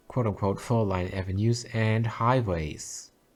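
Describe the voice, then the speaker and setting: In a German accent, a man talks with a fairly low pitch and ordinary pitch variation. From Germany. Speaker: video game streamer. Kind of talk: casual livestream commentary. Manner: halting, many fillers and repetitions.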